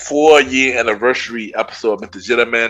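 A man talks at a fairly quick pace in a monotone, flat intonation. Music plays in the background. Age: 30s. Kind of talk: casual monologue.

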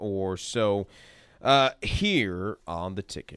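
In a very clean recording with a silent background, a man has an unremarkable speaking voice, fairly low in pitch with ordinary pitch variation. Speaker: radio host. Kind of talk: casual sports talk radio chat. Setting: radio studio. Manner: conversational, relaxed, filler words.

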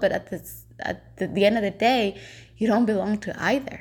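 Her intonation fairly even and her pace moderate, a woman speaks with vocal fry. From El Salvador. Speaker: podcast host. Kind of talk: casual monologue. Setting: at home. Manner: hesitant, filler-heavy.

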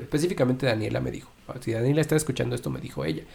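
At a very fast pace, a man speaks with a medium pitch. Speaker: podcast co-host. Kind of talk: casual chat.

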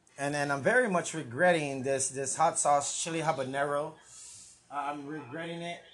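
This is a man with an American accent and a normal speaking voice. His pitch is fairly high, with ordinary pitch variation. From San Antonio, Texas. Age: 30s. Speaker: podcast host. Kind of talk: casual chat. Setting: livestream on Facebook and YouTube.

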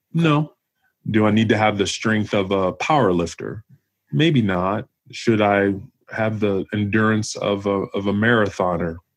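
Using an unremarkable speaking voice, a man with a fairly low pitch talks at a fairly slow pace with ordinary pitch variation. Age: 40s. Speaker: retired police officer and gym owner. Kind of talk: casual interview.

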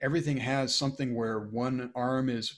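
With a very clean recording and a silent background, a man speaks with an American accent and fairly even intonation in an unremarkable speaking voice. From Maine, US. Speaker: army band trombonist. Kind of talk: interview conversation.

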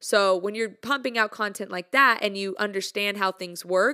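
Woman's voice of medium pitch, bright and sharp in tone, upbeat, on a very clean recording with a silent background. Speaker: music content creator. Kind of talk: casual monologue. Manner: casual, upbeat, chatty.

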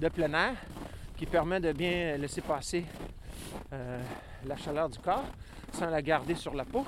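Noticeable noise sits in the background. The words come out very slowly. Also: man. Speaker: podcast host. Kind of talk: outdoor walking narration. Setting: outdoors on a tundra hike. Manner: hesitant, many fillers.

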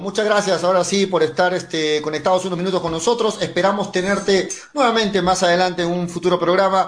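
This man speaks at a fairly quick pace with hardly any pauses. His pitch is high and his intonation fairly even. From Peru, Mollendo. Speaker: sports radio host. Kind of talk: sports talk radio.

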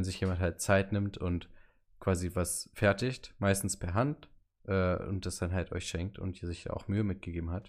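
This man speaks at a moderate pace in a very deep, low pitch with fairly even intonation. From Hannover, northern Germany. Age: 20s. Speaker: podcast co-host, student. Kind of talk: casual chat.

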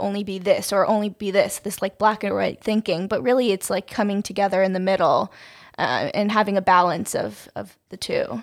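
At a fairly quick pace, a woman with an American accent talks in a plain, everyday voice at a medium pitch. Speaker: podcast co-host. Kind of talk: casual chat.

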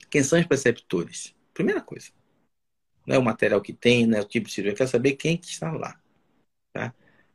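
Somewhat breathy and at a fairly quick pace, a man talks with lively intonation, big swings in loudness and long, frequent pauses, in a dry, close sound with no echo. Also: medium pitch for a man. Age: 60s. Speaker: surgeon and medical professor. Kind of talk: casual interview on a live stream. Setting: online live stream.

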